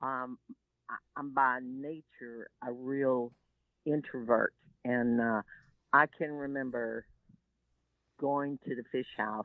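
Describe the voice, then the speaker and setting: A woman with a Texan accent speaks at a very slow pace with long, frequent pauses, her very deep, low pitch delivered in monotone, flat intonation. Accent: Texan Southern US. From US South, Texas Gulf Coast (Seadrift). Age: 70s. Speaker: shrimp boat captain and environmental activist. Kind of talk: interview.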